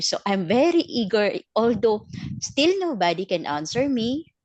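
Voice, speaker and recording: A woman at a fairly slow pace, with a Filipino accent. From Philippines. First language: Filipino language. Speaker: network marketing team leader. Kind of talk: testimony. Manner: halting, many fillers.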